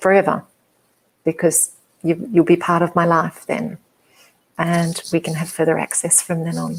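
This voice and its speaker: With an Australian accent, a woman talks in a monotone, flat intonation at a fairly low pitch and a moderate pace, with long, frequent pauses. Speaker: hypnotherapist and psychologist. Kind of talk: interview. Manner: soft-spoken; hesitant, many fillers.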